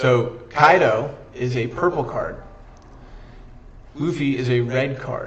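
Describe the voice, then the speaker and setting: Over audible room echo, a man speaks at a very slow pace and a medium pitch with ordinary pitch variation and long, frequent pauses. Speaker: streamer teaching a card game. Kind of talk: livestream tutorial. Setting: live stream with chat. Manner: casual, self-correcting.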